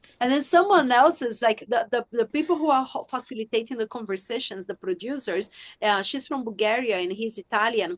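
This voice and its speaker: A woman with a Brazilian accent speaks at a moderate pace in a fairly high pitch, her intonation lively and the sound dry and close with no echo against a quiet background. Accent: foreign accent, Brazilian. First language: Portuguese. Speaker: sex and relationship coach, author. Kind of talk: podcast interview.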